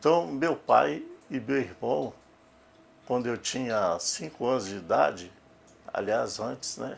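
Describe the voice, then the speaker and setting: A man at a fairly slow pace. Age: 60s. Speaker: photographer. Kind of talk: documentary interview.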